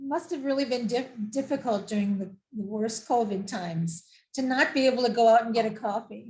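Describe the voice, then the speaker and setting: A woman talks at a fairly quick pace with an unremarkable speaking voice. Her pitch is fairly high, with ordinary pitch variation. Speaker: travel show host. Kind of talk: interview host.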